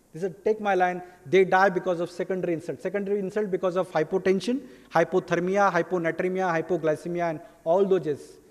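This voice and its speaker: With an Indian accent, a man talks at a very fast pace. His pitch is high and his intonation fairly even. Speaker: pediatrician. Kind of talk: lecture.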